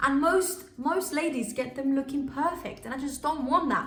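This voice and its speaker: The woman's tone is animated and her pace fairly quick. Audible room echo and noticeable background noise surround her. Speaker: beauty YouTuber. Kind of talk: casual tutorial vlog.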